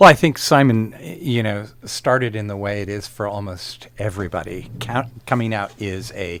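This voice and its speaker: This man has a plain, everyday voice. It sits fairly low in pitch. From US Pacific Northwest, Portland, Oregon. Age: 60s. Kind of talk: radio interview.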